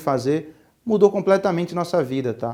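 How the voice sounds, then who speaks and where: A man with a Pernambuco accent speaks in a high voice at a moderate pace. The recording is very clean, with a silent background. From Pernambuco, Brazil. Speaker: entrepreneur, speaker. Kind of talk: talk to students. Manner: casual, with many fillers.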